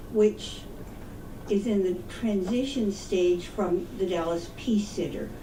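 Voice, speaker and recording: Speaking at a very slow pace with long, frequent pauses, a woman has a medium pitch and ordinary pitch variation. Audible room echo and noticeable background noise come through. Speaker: peace activist. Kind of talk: public talk.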